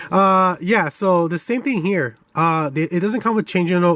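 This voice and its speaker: This man's pitch shifts in an ordinary way. He talks at a moderate pace. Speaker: toy reviewer. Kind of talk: product review. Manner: mumbling; casual, halting.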